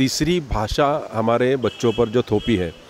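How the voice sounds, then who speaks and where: With a Marathi accent, a man speaks at a medium pitch, using ordinary pitch variation. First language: Marathi (speaking Hindi). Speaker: party spokesperson. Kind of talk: interview. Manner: animated.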